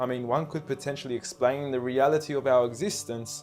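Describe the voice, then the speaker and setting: Over music in the background, the speaker talks at a fairly quick pace with ordinary pitch variation. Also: man. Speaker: spoken word performer. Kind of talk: spoken word poetry performance, persuasive religious talk.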